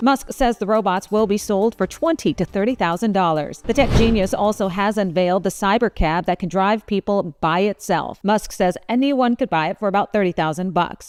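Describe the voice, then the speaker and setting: With an unremarkable speaking voice, a woman talks fairly quickly at a medium pitch with ordinary pitch variation and hardly any pauses, in a dry, close sound with no echo. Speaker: news anchor. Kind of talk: news anchor delivery, top stories roundup.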